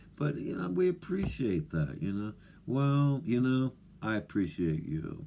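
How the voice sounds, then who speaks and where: A mumbling man at a fairly low pitch, dark and mellow in tone, with very wide pitch swings and a fairly slow pace. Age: old. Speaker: off-grid living vlogger. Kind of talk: casual monologue to camera. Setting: remote wilderness home. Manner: halting, many fillers.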